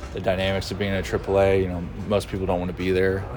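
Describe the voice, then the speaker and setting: Amid noticeable background noise and audible room echo, a man with a very deep, low pitch speaks at a moderate pace with fairly even intonation. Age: 30s. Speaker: professional baseball player. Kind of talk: interview. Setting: stadium dugout.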